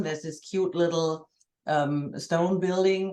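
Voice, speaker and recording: Her intonation monotone and flat, a woman with a German accent speaks at a fairly low pitch. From Germany. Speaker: journalist and church member. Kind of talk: casual conversation. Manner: halting, repeating words.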